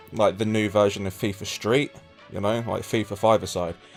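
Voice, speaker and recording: A man talks with a fairly low pitch. Background music can be heard beneath him. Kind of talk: comedy parody game review, casual banter.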